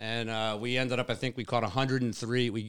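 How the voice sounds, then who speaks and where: Here a man has a plain, everyday voice in an American accent. He speaks at a medium pitch and a fairly quick pace. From Long Island, New York. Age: 50s. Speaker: fishing mate and tournament director. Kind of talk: casual interview. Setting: in person.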